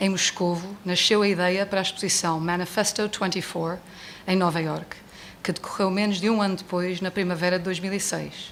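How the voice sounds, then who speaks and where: The speaker has an English accent and a moderate pace. The intonation is monotone and flat. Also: woman, medium pitch for a woman. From United States. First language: English (speaking Portuguese). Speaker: book presenter. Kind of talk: book launch speech read from notes. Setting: bookstore event with audience.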